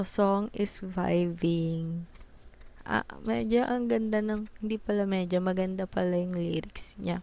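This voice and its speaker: The voice is a woman's, dark and mellow in tone. She talks at a fairly slow pace. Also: medium pitch for a woman, ordinary pitch variation. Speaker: music reaction video creator. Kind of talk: casual reaction commentary.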